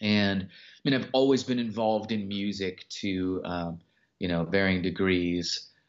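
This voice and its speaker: This man has an ordinary speaking voice with an American accent. His pitch is fairly low and his pace fairly slow. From Los Angeles area, US. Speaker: record label owner and hip-hop artist. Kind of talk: interview.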